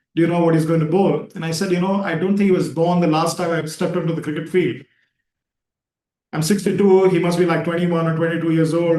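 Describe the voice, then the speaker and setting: A high-pitched man at a very fast pace, his intonation monotone and flat. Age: 60s. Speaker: yoga teacher and talk host. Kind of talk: casual chat. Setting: video call.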